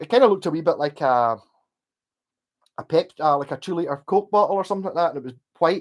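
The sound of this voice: A man with a West of Scotland accent talks at a fairly quick pace, his fairly high voice full of lively intonation. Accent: Glasgow area, west of Scotland.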